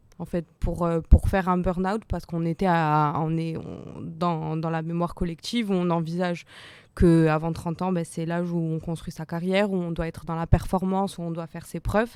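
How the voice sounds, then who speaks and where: On a very clean recording with a silent background, a woman with a fairly low pitch speaks at a moderate pace in a flat, monotone way. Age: 20s. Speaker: audience member. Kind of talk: testimony. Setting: round table with live audience.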